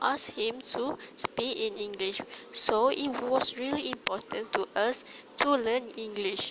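A woman's high voice in a Malaysian accent, very slow, with ordinary pitch variation and noticeable background noise. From Malaysia, Terengganu. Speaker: university student. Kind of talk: solo monologue podcast. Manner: halting.

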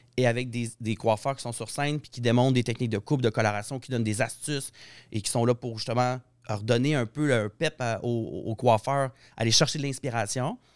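Music plays in the background as a man with a medium pitch speaks at a fairly quick pace. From Saguenay, Quebec. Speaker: hairdresser and colorist. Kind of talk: casual chat.

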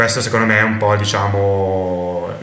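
A man's fairly low-pitched, monotone, flat voice at a fairly slow pace, with audible room echo and noticeable background noise. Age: 20s. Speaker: polyglot and language teacher. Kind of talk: interview conversation.

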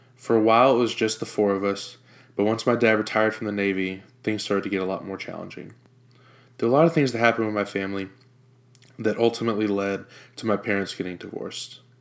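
On a very clean recording with a silent background, a man with an American accent speaks at a very fast pace and fairly low pitch. His intonation is fairly even, and he leaves long, frequent pauses. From Jacksonville, Florida. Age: 20s. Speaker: podcast host. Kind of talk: personal testimony.

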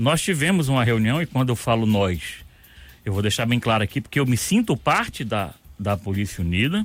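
With music in the background, a man speaks at a moderate pace and medium pitch with lively intonation. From Rio de Janeiro, Brazil. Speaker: retired military police colonel. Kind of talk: radio interview. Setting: radio studio.

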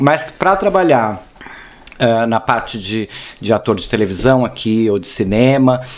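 A man talks at a fairly slow pace and a medium pitch with lively intonation. Noticeable background noise can be heard. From Brazil, São Paulo. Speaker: actor and performance artist. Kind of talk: casual interview.

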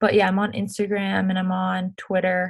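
Over a silent background in a very clean recording, a woman speaks somewhat breathily at a medium pitch with monotone, flat intonation. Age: 20s. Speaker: professional ice hockey player. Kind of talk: casual interview. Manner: halting, many fillers.

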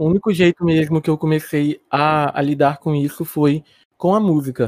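A man's fairly high-pitched voice with a dark, mellow tone, at a moderate pace, in a dry, close sound with no echo. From Espírito Santo, Brazil. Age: 20s. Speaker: R&B singer. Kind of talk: interview.

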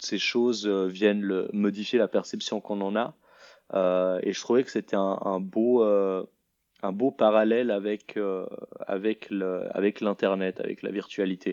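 A man speaks very slowly in a fairly low voice, his intonation flat and monotone. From Switzerland, Lausanne. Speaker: multimedia artist. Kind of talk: interview. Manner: halting.

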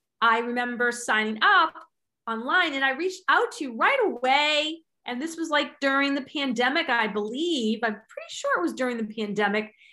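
A woman speaks in a raised, projected voice, high in pitch with a bright, sharp tone. Her intonation is lively and her pace moderate. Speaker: podcast host. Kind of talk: interview chat. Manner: animated.

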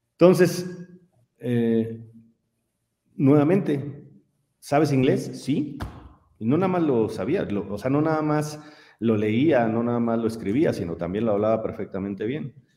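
At a fairly slow pace, a man with a medium pitch and a dark, mellow tone uses lively intonation, with audible room echo around him. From Mexico, San Miguel de Allende, Guanajuato. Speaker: engineer and simulation company founder. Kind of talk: interview conversation.

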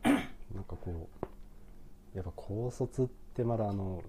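A man speaks with a dark, mellow tone. His voice is somewhat breathy and fairly low in pitch. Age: 30s. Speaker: coffee shop owner. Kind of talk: casual chat.

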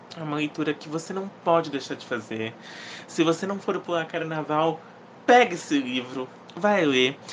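A man's fairly high voice, animated in tone, at a moderate pace, with ordinary pitch variation and big swings in loudness. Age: 20s. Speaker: podcast host, book reviewer. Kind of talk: casual solo podcast, book review.

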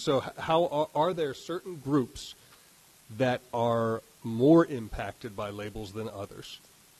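Lively intonation marks this man's speech at a medium pitch. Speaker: panel moderator, former radio host. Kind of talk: moderating a panel discussion. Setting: live event in a university ballroom with audience.

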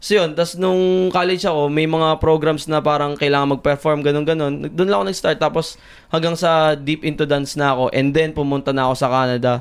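An unremarkable speaking voice at a fairly quick pace. Loudness stays very even, and intonation is fairly even. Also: man, fairly high pitch for a man. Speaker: chef. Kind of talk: casual chat.

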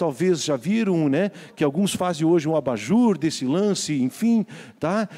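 At a moderate pace, a man talks in a high voice with a dark, mellow tone. His intonation is lively. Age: 60s. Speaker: pastor. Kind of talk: sermon.

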